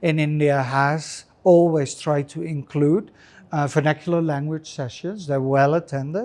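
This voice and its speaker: Speaking with a Dutch accent, a man with a fairly high pitch and a dark, mellow tone talks at a moderate pace with fairly even intonation over a quiet background. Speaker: urban anthropologist. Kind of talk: interview conversation. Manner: hesitant with fillers.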